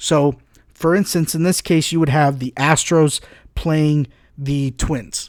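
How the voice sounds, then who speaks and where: An American man speaks at a fairly slow pace in an unremarkable speaking voice, his pitch fairly high. The recording is very clean with a silent background. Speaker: podcast host. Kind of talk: casual podcast talk.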